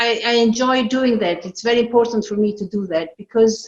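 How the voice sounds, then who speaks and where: In an Italian accent, a woman speaks at a moderate pace. Her pitch is fairly high and her intonation fairly even. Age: 60s. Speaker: yoga practitioner and translator. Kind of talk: personal testimony at online event.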